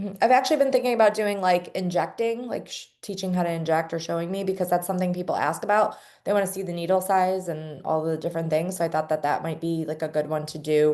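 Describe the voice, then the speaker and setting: A woman's dark, mellow, fairly low-pitched voice at a very fast pace. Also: ordinary pitch variation, hardly any pauses. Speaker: team leader teaching website setup. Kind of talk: tutorial.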